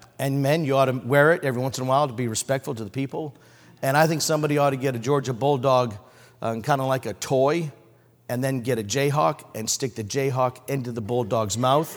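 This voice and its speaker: In a very clean recording with a silent background, a man of medium pitch speaks very fast in an animated tone with ordinary pitch variation. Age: 60s. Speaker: preacher. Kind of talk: sermon. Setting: church. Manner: animated, preacher in full flow.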